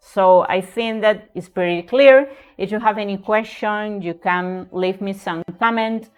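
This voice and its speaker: Fairly slow, fairly even speech with a slight Spanish accent, music playing in the background. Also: woman, medium pitch for a woman. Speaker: writing tutor. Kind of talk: tutorial.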